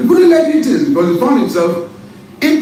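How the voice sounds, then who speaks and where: With audible room echo and noticeable background noise, a man speaks with very wide pitch swings. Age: 60s. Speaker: businessman and former pilot. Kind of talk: political interview. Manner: animated.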